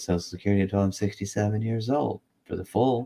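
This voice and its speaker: In a fairly low pitch, a man speaks with a dark, mellow tone. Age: 50s. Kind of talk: casual chat.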